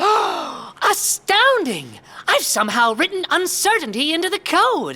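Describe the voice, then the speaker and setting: This put-on character voice is extremely high, with very wide pitch swings. It moves at a fairly slow pace. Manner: gasping in astonishment.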